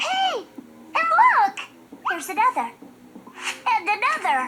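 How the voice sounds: This cartoonish character voice is squeaky and extremely high, with very wide pitch swings at a fairly slow pace.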